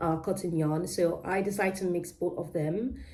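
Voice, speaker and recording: A woman with a British-Nigerian accent speaks at a moderate pace with fairly even intonation. Her dark, mellow tone carries vocal fry amid audible room echo. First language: Yoruba. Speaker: crochet vlogger. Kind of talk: casual vlog chat. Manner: halting, many fillers and self-corrections.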